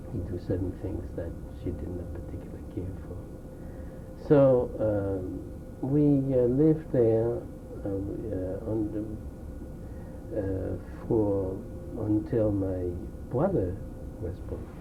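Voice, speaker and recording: Over audible room echo, a man speaks very slowly in a fairly low voice with lively intonation and long, frequent pauses. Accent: French. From France. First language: French. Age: 60s. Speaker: Holocaust survivor. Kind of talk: oral history interview. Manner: halting.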